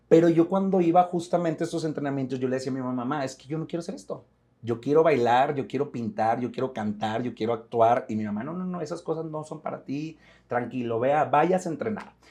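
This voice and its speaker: A man speaks at a very fast pace with a dark, mellow tone and a fairly high pitch. His intonation is lively, and his loudness swings widely. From Mexico, Monterrey. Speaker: actor. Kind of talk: interview. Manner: repetitions, restarts.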